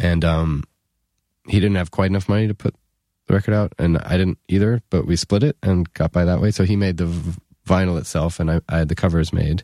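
A man's very deep, low voice with a New York accent, dark, mellow tone, very even loudness and ordinary pitch variation, dry and close with no echo on a very clean recording with a silent background. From New York City. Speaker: musician. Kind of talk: casual chat. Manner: halting.

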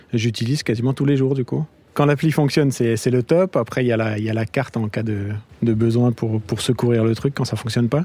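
Using a dark, mellow tone, a man of medium pitch speaks at a fairly quick pace with ordinary pitch variation. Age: 30s. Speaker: app user, commuter. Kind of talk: street interview.

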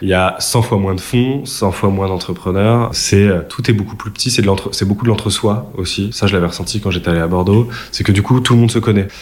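Over noticeable background noise, a man talks at a fairly quick pace, with a fairly low pitch and fairly even intonation. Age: 20s. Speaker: venture capital analyst. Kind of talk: interview. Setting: office premises. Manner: hesitant with fillers.

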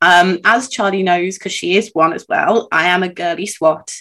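A woman with an ordinary speaking voice talks at medium pitch. Her pace is moderate. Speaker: podcast co-host. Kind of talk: casual chat.

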